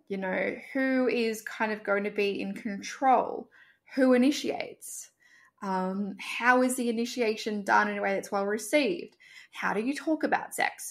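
Recorded very cleanly with a silent background, a woman uses an ordinary speaking voice at a fairly high pitch. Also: ordinary pitch variation. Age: 30s. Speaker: sex coach. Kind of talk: casual chat.

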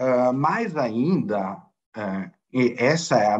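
This man speaks in an Italian accent. His pitch swings very widely. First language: Italian (speaking Portuguese). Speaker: football club finance director. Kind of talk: interview. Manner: halting, many fillers.

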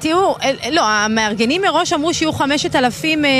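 Noticeable noise fills the background. The pitch rises and falls in a lively way. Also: woman. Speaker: field reporter. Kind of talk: live field report. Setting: inside a news van at a protest.

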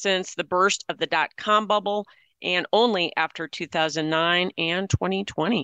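A woman's fairly low, bright and sharp voice, very slow, with fairly even intonation against a quiet background. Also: dry, close sound with no echo. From South Dakota. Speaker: radio host and news reader. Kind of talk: news reading and chat.

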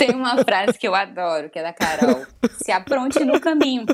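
The speaker is a woman with a fairly high pitch. Her pitch swings very widely. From Brazil, Maranhão (Northeast). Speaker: journalist and writer. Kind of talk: casual interview.

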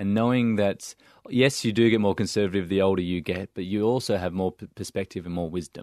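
Over a quiet background, a man with an Australian accent talks at a fairly low pitch and a fairly quick pace with ordinary pitch variation, in a dry, close sound with no echo. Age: 30s. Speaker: charity founder. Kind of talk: casual interview.

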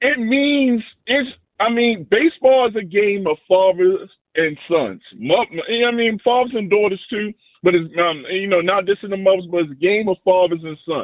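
A man's high-pitched voice carries lively intonation at a moderate pace. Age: 40s. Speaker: radio caller. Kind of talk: call-in chat. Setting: phone call.

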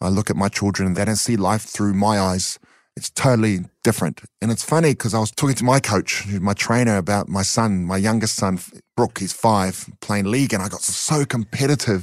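With a New Zealand accent, a man speaks at a fairly quick pace and fairly low pitch with ordinary pitch variation, the sound dry and close with no echo and the recording very clean over a silent background. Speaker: community charity founder and ex-boxer. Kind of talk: interview.

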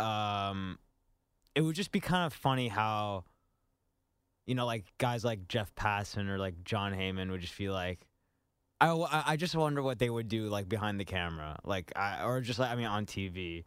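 On a very clean recording with a silent background, a man with an ordinary speaking voice talks at a moderate pace, fairly low in pitch with lively intonation. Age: 20s. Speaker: radio show producer. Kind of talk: casual chat.

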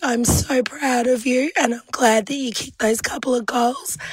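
With noticeable background noise, a woman talks at a fairly slow pace and a high pitch, with ordinary pitch variation. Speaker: listener leaving a voice message. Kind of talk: voice message. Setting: recorded voice message.

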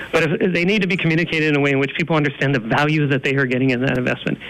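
Over noticeable background noise, a man talks with an American accent. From northeastern Pennsylvania. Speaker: environmental advocacy director. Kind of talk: interview.

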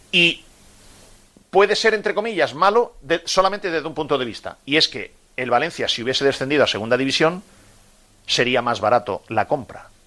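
Bright and sharp in tone, a man speaks at fairly high pitch with very wide pitch swings. He moves at a fairly quick pace yet leaves long, frequent pauses. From Murcia, Spain (Águilas). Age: 50s. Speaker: sports radio host. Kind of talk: radio sports talk show.

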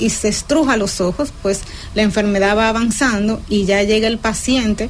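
Against noticeable background noise, a woman with a fairly high pitch and ordinary pitch variation speaks at a moderate pace. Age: young. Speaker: ophthalmologist. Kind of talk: radio health interview.

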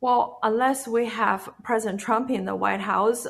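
The pace is fairly slow. A woman speaks with a Chinese accent. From China. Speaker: activist. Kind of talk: interview. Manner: halting.

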